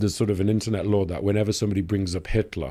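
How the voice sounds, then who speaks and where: A man's fairly low, dark, mellow voice at a very fast pace with fairly even intonation. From Leeds, England. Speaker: news editor, journalist. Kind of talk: podcast interview answer.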